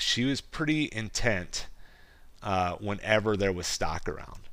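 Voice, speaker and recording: Speaking very slowly with a Midwestern US accent, a man uses a fairly low pitch and a bright, sharp tone. His intonation is lively, and the recording is very clean with a silent background. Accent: US Midwest. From rural Iowa. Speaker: podcast host and goat farmer. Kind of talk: casual monologue.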